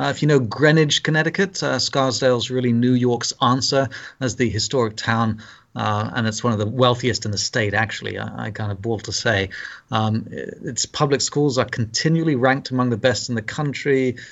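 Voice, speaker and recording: This speaker has a British accent, a moderate pace and ordinary pitch variation. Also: man, medium pitch for a man. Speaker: Lutheran pastor. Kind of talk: casual interview. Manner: halting, hesitant.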